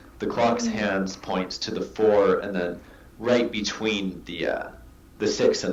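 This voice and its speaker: A man with a Pacific Northwest accent is heard against noticeable background noise. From US Pacific Northwest. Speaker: artist. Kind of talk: interview answer.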